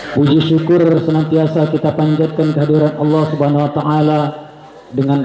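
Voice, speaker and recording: Flat, monotone delivery at a moderate pace, with noticeable background noise and audible room echo. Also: man. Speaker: Islamic preacher. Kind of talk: sermon. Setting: mosque. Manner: soft-spoken; formal.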